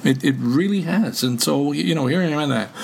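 Against noticeable background noise, a man with a Canadian accent talks at a fairly quick pace with lively intonation. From Canada. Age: 70s. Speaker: veteran podcaster, retiree. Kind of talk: casual interview chat.

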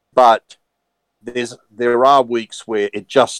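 A man speaks slowly at a fairly low pitch with fairly even intonation. The sound is dry and close, with no echo.

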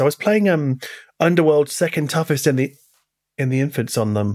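A man speaks in a fairly high voice. The sound is dry and close, with no echo. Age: 40s. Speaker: podcast host. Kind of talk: interview.

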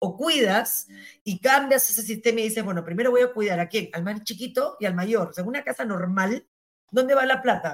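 A woman with an unremarkable speaking voice talks at a moderate pace, her pitch medium and varying in an ordinary way. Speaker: former justice minister. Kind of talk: interview.

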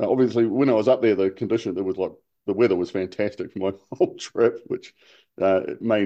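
With a New Zealand accent, the speaker talks at a very fast pace. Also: man. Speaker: outrigger canoe racer. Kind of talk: interview.

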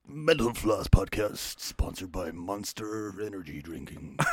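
A put-on character voice from a man, fairly low in pitch, with lively intonation at a moderate pace. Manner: salesy announcer.

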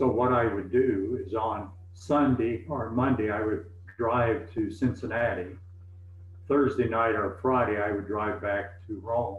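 Heard with audible room echo, a man with an American accent speaks at a fairly slow pace. His pitch is fairly low and his intonation fairly even. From US South, East Tennessee. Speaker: retired pastor. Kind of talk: interview.

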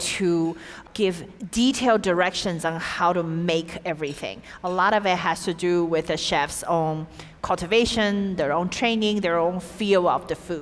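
A woman talks at a moderate speed, her pitch varying in an ordinary way, while noticeable noise runs behind her. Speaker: interpreter. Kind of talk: live interpretation. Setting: stage with audience.

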